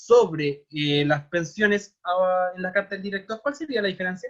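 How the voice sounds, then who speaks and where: This man talks at a high pitch with a Chilean accent. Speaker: teacher. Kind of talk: online class lecture. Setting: video call.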